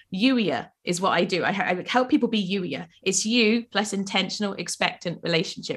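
A woman's medium-pitched voice in a South Welsh accent, with ordinary pitch variation. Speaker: life coach. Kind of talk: casual interview. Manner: animated.

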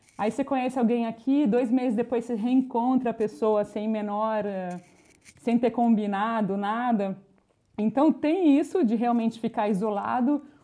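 Here a woman speaks in a fairly high register. Her tone is dark and mellow. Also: ordinary pitch variation, moderate pace. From Brazil, Campinas (São Paulo state). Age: 40s. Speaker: journalist and podcaster. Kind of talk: casual interview. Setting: remote call from Italy.

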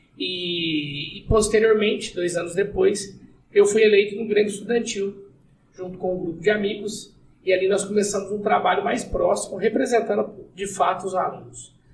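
Using fairly even intonation, a man with a high pitch talks at a moderate pace. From southern Minas Gerais, Brazil. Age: 30s. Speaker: city councillor and lawyer. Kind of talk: casual podcast interview.

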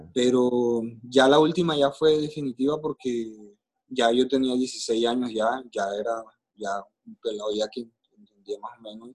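An ordinary speaking voice goes at a fairly slow pace, with ordinary pitch variation and big swings in loudness. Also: man, medium pitch for a man. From Colombia, Caribbean coast (Maicao, La Guajira). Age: 40s. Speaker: podcast guest telling his life story. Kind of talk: personal testimony in interview.

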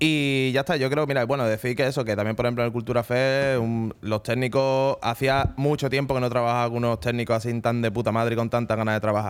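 A man at a very fast pace, medium pitch, very even loudness and hardly any pauses. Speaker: radio show host. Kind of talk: casual radio chat. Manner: animated.

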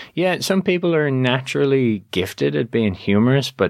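On a very clean recording with a silent background, the voice moves through very wide pitch swings. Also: man. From Dublin, Ireland. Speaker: author and public speaking coach. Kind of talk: casual interview.

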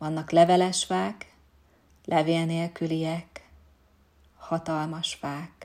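A woman speaks at a very slow pace with long, frequent pauses. Her tone is calm and soothing, her intonation flat and monotone. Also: fairly low pitch for a woman. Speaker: yoga nidra instructor. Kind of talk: guided meditation (yoga nidra). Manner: slow, calm, soothing, with long pauses; soft-spoken, gentle, instructive.

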